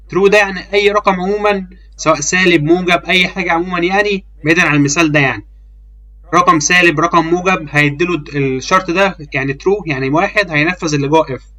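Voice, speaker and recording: Someone with an Egyptian accent speaks at a fairly quick pace with ordinary pitch variation over noticeable background noise. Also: man, high pitch for a man. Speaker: programming teacher. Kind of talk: tutorial. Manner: casual; halting.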